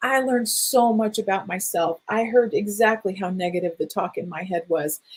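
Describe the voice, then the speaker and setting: In an unremarkable speaking voice, a woman talks at a medium pitch and moderate speed, her pitch varying in an ordinary way. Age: 60s. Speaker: energy healing teacher. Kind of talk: online workshop talk.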